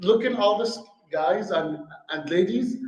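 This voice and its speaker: An Arabic accent at a fairly slow pace, with audible room echo. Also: man. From Syria. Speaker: restaurant owner. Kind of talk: speech to a club audience.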